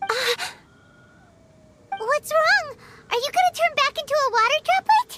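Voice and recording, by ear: A cartoonish character voice with an extremely high pitch moves at a moderate pace. Long pauses come often.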